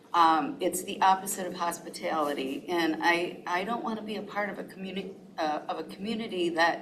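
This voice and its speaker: Noticeable background noise and audible room echo surround a woman speaking at a medium pitch and moderate pace with ordinary pitch variation. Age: 70s. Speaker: public commenter, resident. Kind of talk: public comment.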